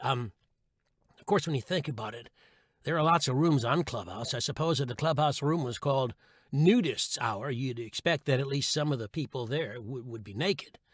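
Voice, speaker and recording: A man talks at a moderate pace in a fairly high, somewhat breathy voice with ordinary pitch variation and big swings in loudness. The recording is very clean, with a silent background. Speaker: audiobook narrator. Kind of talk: humorous blog read. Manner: comedic, wry.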